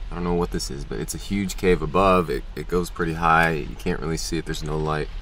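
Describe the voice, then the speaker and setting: A man talks with ordinary pitch variation. The sound is dry with no echo, with light background noise. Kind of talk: casual vlog chat. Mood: nervous, uneasy. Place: car. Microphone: phone near.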